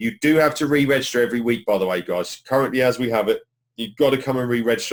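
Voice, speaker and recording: Very fast speech with a British accent and fairly even intonation. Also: man. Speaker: online marketing trainer. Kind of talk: live webinar training. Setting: live webinar.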